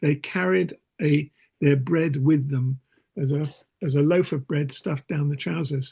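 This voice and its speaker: Somewhat breathy and fairly high-pitched, a man speaks with a southern English accent and ordinary pitch variation. His tone is dark and mellow, recorded with a dry, close sound and no echo. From southeast England, Kent (Whitstable). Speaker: Quaker meeting participant. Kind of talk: casual group discussion. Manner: halting, many repetitions.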